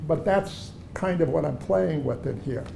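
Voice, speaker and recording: Against audible room echo, a man speaks at a moderate pace in a fairly high voice with a dark, mellow tone and vocal fry. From Germany, then Chicago from age seven. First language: German. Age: 70s. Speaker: artist. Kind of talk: gallery talk conversation. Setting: art gallery. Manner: conversational, with hesitations.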